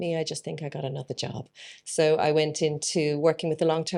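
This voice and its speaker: In an Irish accent, a woman talks at a fairly quick pace with a very deep, low pitch, a dark, mellow tone and vocal fry. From Ireland, Dublin. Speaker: plant business owner. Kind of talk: interview. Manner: casual with frequent fillers.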